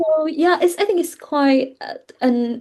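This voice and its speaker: A woman with a Vietnamese accent speaks at a very slow pace. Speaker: English teacher. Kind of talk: interview. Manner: halting.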